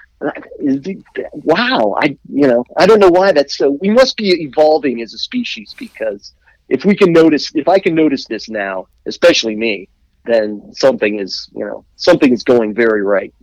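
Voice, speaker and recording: A man with an American accent and a fairly high pitch speaks at a moderate pace. His pitch swings very widely, and the sound is dry and close with no echo. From Washington D.C. area. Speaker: musician. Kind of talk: casual chat.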